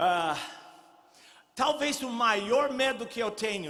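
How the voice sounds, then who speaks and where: Amid audible room echo, a man speaks in a raised, projected voice at a very slow pace with lively intonation. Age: 70s. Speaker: pastor. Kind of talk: sermon.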